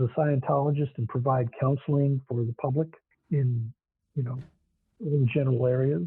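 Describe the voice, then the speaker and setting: Medium-paced male speech, somewhat high in pitch, with normal pitch movement. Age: 60s. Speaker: chiropractor and Scientology counselor. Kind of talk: interview conversation. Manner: hesitant, many fillers.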